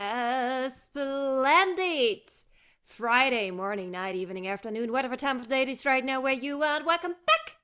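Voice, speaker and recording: The voice is raised and projected, with a bright, sharp tone. It moves at a moderate pace. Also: woman, high pitch for a woman, lively intonation. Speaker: gaming streamer. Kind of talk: live stream game commentary. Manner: casual, chatty.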